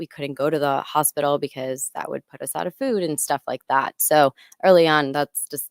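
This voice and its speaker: A woman with a very deep, low voice speaks at a fairly quick pace with big swings in loudness, in a dry, close recording with no echo that is very clean against a silent background. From Colombia. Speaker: health tech startup co-founder. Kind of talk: interview podcast.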